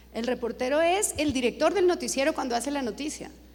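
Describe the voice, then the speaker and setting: Speaking at a moderate pace, a woman uses lively intonation and a high pitch. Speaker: TV news director. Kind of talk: Q&A at a journalism conference.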